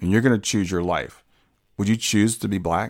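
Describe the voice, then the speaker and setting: With an American accent and a fairly low pitch, a man speaks in a plain, everyday voice, recorded very cleanly against a silent background. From US Midwest, Columbus, Ohio. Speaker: podcast host. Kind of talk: solo monologue.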